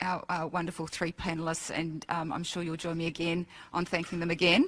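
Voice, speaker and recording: A woman speaks with an Australian accent at a fairly low pitch. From Australia, Ipswich Queensland. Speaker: event emcee and educator. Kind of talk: closing remarks at public forum. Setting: auditorium with audience.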